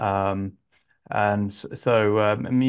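Over a quiet background, a man with an English accent speaks at a fairly low pitch in a monotone, flat intonation. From England (Yorkshire, then Suffolk); England. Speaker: composer and arranger; interviewee. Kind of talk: interview. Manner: halting, many fillers. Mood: relaxed, friendly. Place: home room. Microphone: earbuds.

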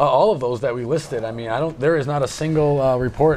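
With a plain, everyday voice, a man talks at a fairly quick pace with ordinary pitch variation over light background noise. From Wisconsin. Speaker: libertarian activist, panel guest; guest. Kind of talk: panel discussion. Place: studio. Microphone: lapel.

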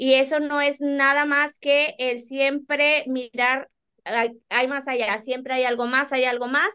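A woman's high, bright, sharp voice, raised and projected, monotone and flat, at a very slow pace over a quiet background. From Monterrey, Nuevo León, Mexico. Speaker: accountant and business owner; guest. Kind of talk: interview. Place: office. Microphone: video call.

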